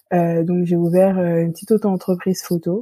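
A woman's fairly low, dark, mellow voice at a fairly slow pace, with a dry, close sound and no echo. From Île-de-France, of French Antillean family. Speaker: teacher. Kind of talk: interview conversation.

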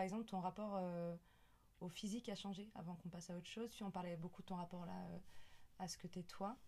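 Fairly quick, fairly evenly intoned speech from a woman in a medium pitch. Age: 30s. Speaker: podcast host. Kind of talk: casual interview. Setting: indoors at home.

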